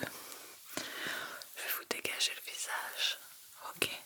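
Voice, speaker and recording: There is noticeable noise in the background. Over it, a woman whispers. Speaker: ASMR creator. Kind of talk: ASMR personal attention role-play, face measuring exam. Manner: soft-spoken, whispered.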